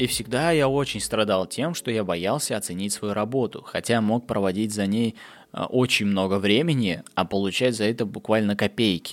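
Moderate pacing and ordinary pitch variation in a man's fairly low voice, captured on a very clean recording against a silent background. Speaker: podcast host. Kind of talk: solo monologue. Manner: animated.

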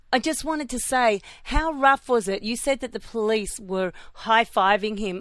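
A woman talks in an Australian accent. Her recording is very clean, with a silent background. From Australia (Melbourne). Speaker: radio host. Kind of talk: casual chat. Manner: animated.

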